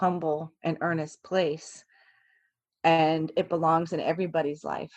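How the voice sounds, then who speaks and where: A woman with an American accent speaks at a moderate pace in a fairly low pitch. Her intonation is monotone and flat, and the background is quiet. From Virginia, US East Coast. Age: 40s. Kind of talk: interview conversation. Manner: hesitant, many fillers and restarts.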